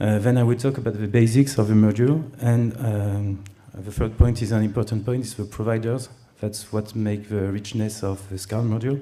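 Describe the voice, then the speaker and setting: With a French accent, a man speaks at a fairly low pitch in a dark, mellow tone. His intonation stays fairly even at a moderate pace, with audible room echo. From France. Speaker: conference speaker, web company CEO. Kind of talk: conference talk. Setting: stage with audience. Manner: hesitant, many fillers.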